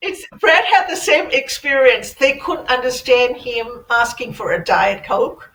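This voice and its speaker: Over noticeable background noise, a woman with a high voice and lively intonation speaks at a fairly slow pace with hardly any pauses. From Burma. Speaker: IT engineer. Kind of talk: casual chat.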